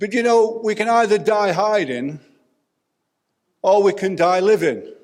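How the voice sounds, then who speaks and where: A man speaks fairly slowly at a high pitch. His pitch varies in an ordinary way. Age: 70s. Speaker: guest preacher and hospital chaplain. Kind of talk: sermon. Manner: animated.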